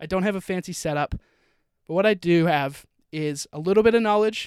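A man talks at a fairly quick pace with an American accent. The sound is dry and close, with no echo. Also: very clean recording, silent background. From Utah. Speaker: marketing podcaster, account manager. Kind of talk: solo podcast monologue. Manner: casual, upbeat.

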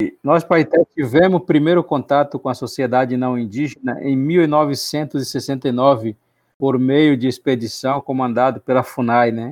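A man talks at a fairly slow pace, his pitch medium and his intonation fairly even. The background is quiet. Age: 40s. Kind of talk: interview. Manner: halting.

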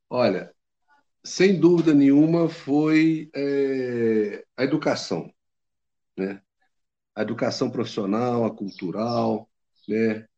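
Very slowly, a man speaks with ordinary pitch variation. His tone is dark and mellow. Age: 60s. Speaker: traveler. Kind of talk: casual interview.

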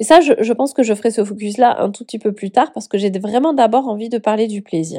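This woman has a dark, mellow tone. She speaks at a fairly quick pace. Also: fairly high pitch for a woman, ordinary pitch variation, hardly any pauses, big swings in loudness. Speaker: life coach and podcast host. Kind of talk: solo podcast monologue. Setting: at home on the couch.

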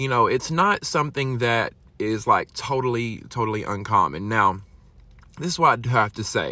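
A man with an American accent, medium pitch, bright, sharp tone and ordinary pitch variation, at a moderate pace on a very clean recording with a silent background. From Alabama, US South. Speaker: podcast host. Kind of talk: casual solo monologue. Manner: animated.

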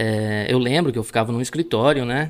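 A man talks at a moderate pace in an ordinary speaking voice, with ordinary pitch variation. The recording is very clean, with a silent background. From Rio Grande do Sul, Brazil (Palmares do Sul). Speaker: agricultural pilot. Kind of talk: casual interview.

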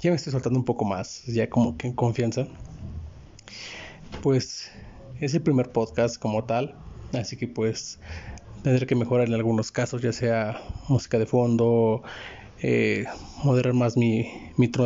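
A man speaks at a moderate pace and a medium pitch, his dark, mellow tone showing little pitch movement.

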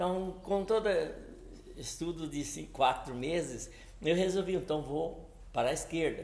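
Pausing long and often, a man speaks fairly slowly in a high voice, with audible room echo around him. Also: ordinary pitch variation. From São Paulo state, Brazil. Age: 70s. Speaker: entrepreneur. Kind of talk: interview. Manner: halting.

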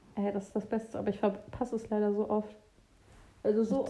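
A woman's very fast, somewhat breathy speech at a fairly high pitch, dark and mellow in tone, with monotone, flat intonation. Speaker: podcast co-host, student. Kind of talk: casual chat.

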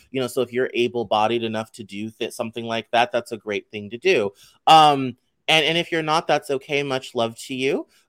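On a very clean recording with a silent background, a man with an American accent uses a normal speaking voice at medium pitch with ordinary pitch variation. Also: fairly quick pace, dry, close sound with no echo. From US, Arkansas and Colorado. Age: 30s. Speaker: writer and podcaster. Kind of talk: interview.

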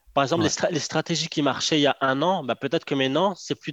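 The sound is dry and close with no echo as a man speaks at a very fast pace, his pitch fairly high with ordinary variation. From Morocco. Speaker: online entrepreneur. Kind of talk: casual interview chat. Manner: hesitant, with fillers and repetitions.

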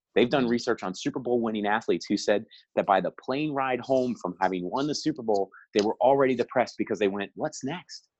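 Very fast speech with ordinary pitch variation, dry and close with no echo over a quiet background. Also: man, medium pitch for a man. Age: 40s. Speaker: youth soccer coach and consultant. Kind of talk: casual interview.

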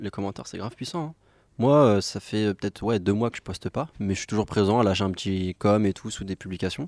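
On a very clean recording with a silent background and a dry, close sound with no echo, a man with an unremarkable speaking voice talks at a fairly quick pace with a fairly low pitch and ordinary pitch variation. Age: 20s. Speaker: salesperson. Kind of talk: casual chat.

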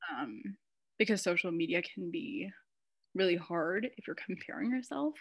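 A woman at a medium pitch speaks with very wide pitch swings and big swings in loudness. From United States. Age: 20s. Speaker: graduate student. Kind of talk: casual chat. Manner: fast talker.

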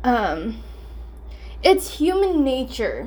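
A woman's voice with audible room echo. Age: 20s. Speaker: podcaster and security guard. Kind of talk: casual monologue. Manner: casual, many fillers.

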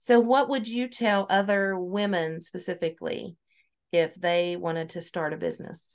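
In an American accent, a woman speaks at medium pitch and a moderate pace with ordinary pitch variation against a quiet background. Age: 40s. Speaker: podcast host. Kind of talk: casual interview. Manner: animated.

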